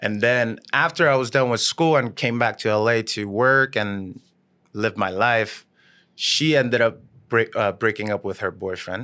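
A man speaks in a medium pitch with a Korean accent and ordinary pitch variation. His tone is bright and sharp against a quiet background. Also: moderate pace. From South Korea. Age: 30s. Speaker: YouTube woodworker. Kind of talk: casual chat. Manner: halting, with many fillers and restarts.

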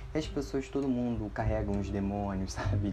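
Somewhat breathy, a man speaks at a moderate pace with audible room echo. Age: 20s. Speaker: podcast host. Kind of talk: personal storytelling monologue. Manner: casual, chatty with laughs.

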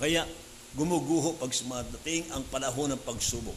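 Amid noticeable background noise and audible room echo, a man speaks at a moderate pace and medium pitch. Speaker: pastor. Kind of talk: sermon. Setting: church service.

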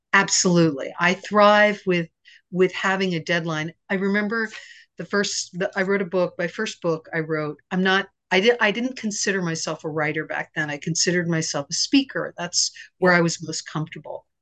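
A woman with an American accent speaks at medium pitch and a moderate pace, with ordinary pitch variation. Hers is a normal speaking voice, captured with a dry, close sound and no echo. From US East Coast. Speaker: psychotherapist and confidence coach. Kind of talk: podcast interview.

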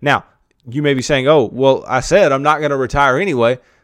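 A man in an ordinary speaking voice, fairly high-pitched and fairly quick, on a very clean recording with a silent background. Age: 20s. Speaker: personal finance podcast host. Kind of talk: solo podcast monologue. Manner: many filler uhs.

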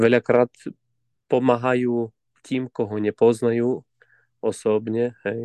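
In a dark, mellow tone, a man with a Ukrainian accent speaks at a fairly slow pace in a flat monotone. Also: dry, close sound with no echo. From Ukraine, Zakarpattia mountains. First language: Ukrainian (speaking Slovak). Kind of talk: interview. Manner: halting, repeats words.

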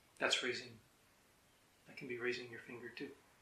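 Audible room echo hangs on a man's speech. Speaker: Zen teacher. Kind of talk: dharma talk.

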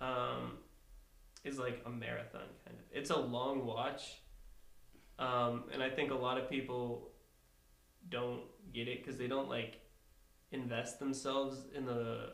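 A man at a medium pitch speaks at a fairly slow pace with fairly even intonation. His loudness swings widely, and he leaves long, frequent pauses. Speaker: podcast guest. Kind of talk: casual banter.

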